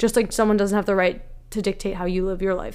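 A woman's normal speaking voice at medium pitch, fairly quick, with fairly even intonation. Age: 20s. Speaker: podcast host. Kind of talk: solo monologue podcast.

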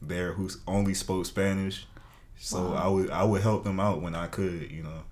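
A man speaks with an American accent. His voice has a very deep, low pitch and a monotone, flat intonation. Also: moderate pace. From US South. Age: 20s. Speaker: college student. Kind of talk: casual interview chat.

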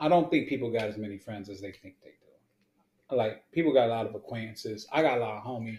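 A somewhat breathy, medium-pitched man's voice in an American accent, very fast, with big swings in loudness and ordinary pitch variation. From Houston, Texas. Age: 40s. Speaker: musician and podcast co-host. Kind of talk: casual chat. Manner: animated.

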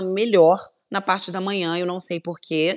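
A woman's voice has a bright, sharp tone and keeps a moderate pace. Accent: slight Carioca. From Volta Redonda, interior of Rio de Janeiro state, Brazil. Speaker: TV journalist and presenter. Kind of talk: casual interview chat.

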